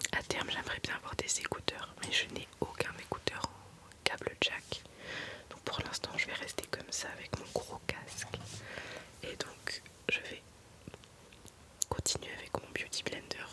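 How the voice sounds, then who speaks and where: A woman whispers in a gentle tone at a fairly slow pace, with long, frequent pauses. Her loudness swings widely, and noticeable background noise is present. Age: 20s. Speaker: ASMR creator. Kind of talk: ASMR makeup talk to camera. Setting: studio. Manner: whispered, gentle.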